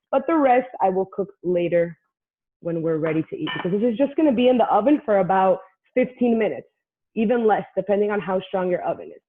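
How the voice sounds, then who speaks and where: A woman talks at a very fast pace in an animated tone with lively intonation. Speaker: cooking class instructor. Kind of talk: live cooking class tutorial.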